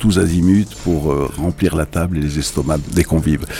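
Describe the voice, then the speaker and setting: A man speaks in a very deep, low pitch at a fairly slow pace with ordinary pitch variation. There is noticeable background noise. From Algeria. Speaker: cultural institute director. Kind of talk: radio interview.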